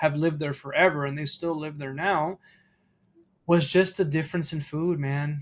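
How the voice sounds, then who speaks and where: This man's fairly high voice stays monotone and flat at a moderate pace, on a very clean recording with a silent background. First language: Italian. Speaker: podcast host. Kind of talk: casual interview conversation.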